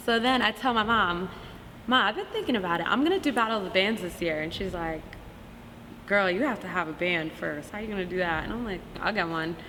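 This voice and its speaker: With an American accent, a woman speaks at a medium pitch and a fairly quick pace with ordinary pitch variation, amid audible room echo and noticeable background noise. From New Jersey (Montclair). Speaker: musician and artist. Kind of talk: interview. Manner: casual, hesitant with fillers.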